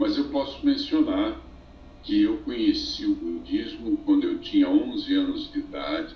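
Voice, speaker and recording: Amid noticeable background noise, a man with an extremely high pitch speaks fairly slowly in a monotone, flat intonation. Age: 70s. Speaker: buddhist ascetic. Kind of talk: interview. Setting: live stream via phone. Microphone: phone.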